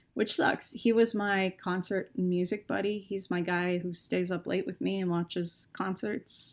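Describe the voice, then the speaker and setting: Speaking with an American accent, a woman has a plain, everyday voice. Her pitch is medium and her pace moderate. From Texas. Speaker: creative writing professor and music fan. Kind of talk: casual podcast conversation.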